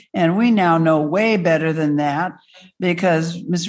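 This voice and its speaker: A woman speaks in a plain, everyday voice at a fairly low pitch. Her pitch variation is ordinary and her pace moderate. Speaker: organization president and moderator. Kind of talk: event moderation. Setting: room with live audience and Zoom.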